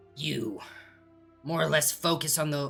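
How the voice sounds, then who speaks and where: This put-on character voice is raspy and sits at a middle pitch, with faint music playing in the background. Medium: actual play. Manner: excitable, rambling, giggly.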